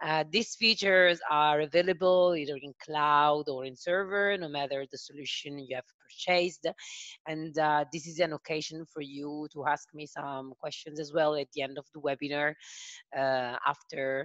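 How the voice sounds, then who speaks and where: This woman has an Italian accent and a very deep, low pitch. She talks at a moderate pace with fairly even intonation and big swings in loudness, in a dry, close sound with no echo. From Italy. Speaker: software sales consultant. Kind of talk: webinar product demo. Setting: online video call. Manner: hesitant, many filler sounds.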